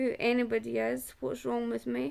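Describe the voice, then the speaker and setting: A woman speaks with a Scottish accent. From Scotland. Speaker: person living with a chronic illness. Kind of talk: testimony. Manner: halting.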